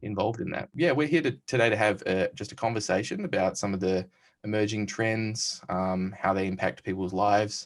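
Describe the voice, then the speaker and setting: Lively intonation marks a man's fairly low voice in an Australian accent. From Western Australia. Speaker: tech company CEO and panel host. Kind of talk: recorded panel conversation. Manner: hesitant, many fillers.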